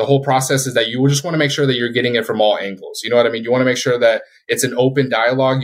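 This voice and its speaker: In an American accent, this man talks at a medium pitch. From Colorado, US. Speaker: security company sales manager, Navy veteran. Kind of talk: interview.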